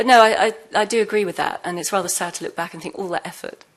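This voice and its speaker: A woman talks at a very fast pace in a British accent. Her intonation stays fairly even. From UK. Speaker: former intelligence officer turned whistleblower. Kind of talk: panel discussion.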